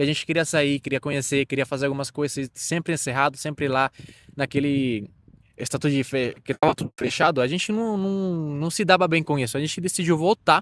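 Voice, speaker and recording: This man talks at a fairly quick pace with ordinary pitch variation and a fairly high pitch. The sound is dry and close with no echo, on a very clean recording with a silent background. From Venezuela. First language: Spanish (speaking Portuguese). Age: 20s. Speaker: immigrant interviewee. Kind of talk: interview. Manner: halting.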